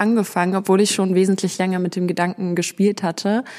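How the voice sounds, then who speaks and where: At a fairly quick pace, a woman with a medium-pitched voice speaks in a monotone, flat intonation. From Berlin, Germany. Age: 20s. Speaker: student and sneaker YouTuber. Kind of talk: casual chat. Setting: in person at her place in Essen.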